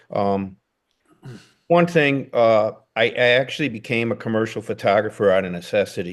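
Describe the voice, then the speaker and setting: Against a quiet background, a man with an American accent talks at a moderate pace in a fairly low voice with ordinary pitch variation. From Chicago, US. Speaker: documentary photographer. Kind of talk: casual interview chat.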